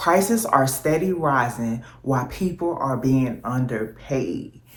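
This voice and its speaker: A woman with a very deep, low pitch speaks with lively intonation. Room echo is audible. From US South, New Orleans and Texas. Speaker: vlogger. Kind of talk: casual vlog monologue.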